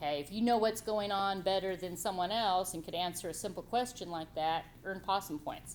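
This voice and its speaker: The speaker goes at a moderate pace with ordinary pitch variation, and the room echo is audible. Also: woman. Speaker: college writing instructor. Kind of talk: classroom lecture. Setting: classroom with students. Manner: loud; animated.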